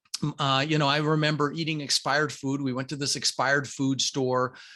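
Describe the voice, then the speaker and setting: Against a quiet background, a man with a fairly high pitch talks at a fairly quick pace in a bright, sharp tone. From Denver, Colorado, US (immigrated from Netherlands at six). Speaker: real estate investor. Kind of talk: podcast interview. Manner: fast.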